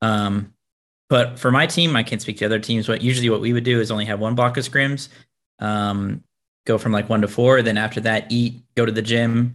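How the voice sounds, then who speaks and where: At a fairly quick pace, a man talks in a normal speaking voice with fairly even intonation. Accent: American. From Tennessee and Florida, US South. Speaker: professional video game player and content creator. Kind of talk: casual interview.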